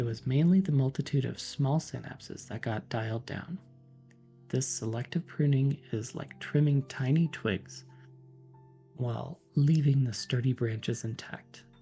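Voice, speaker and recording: Background music is playing. Over it, a man talks at a fairly slow pace. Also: medium pitch for a man, ordinary pitch variation. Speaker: PhD neuroscientist, science educator. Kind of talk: educational lecture, soft-spoken ASMR-style science explanation. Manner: soft-spoken, whispered, calm.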